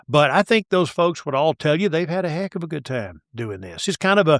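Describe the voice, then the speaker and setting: Fairly high in pitch, a man talks with an East Texas accent. The recording is very clean with a silent background, dry and close with no echo. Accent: East Texas Southern US. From East Texas (Tyler). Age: 60s. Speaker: sports broadcaster and radio talk host. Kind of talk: casual interview chat. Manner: animated, talks over host.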